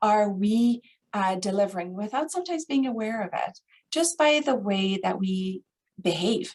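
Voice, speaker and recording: With lively intonation and a somewhat breathy sound, a woman with a fairly high pitch speaks at a fairly slow pace. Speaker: grief counselor. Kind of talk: webinar presentation. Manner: hesitant, many fillers.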